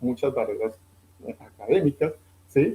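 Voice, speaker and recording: A man's somewhat breathy voice, medium in pitch with a dark, mellow tone, at a moderate pace. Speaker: financial advisor. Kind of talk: interview.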